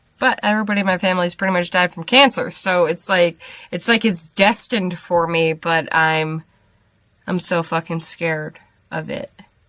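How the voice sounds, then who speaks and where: A woman performs a put-on character voice, raspy and fairly low in pitch. She keeps a moderate pace with ordinary pitch variation. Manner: anxious.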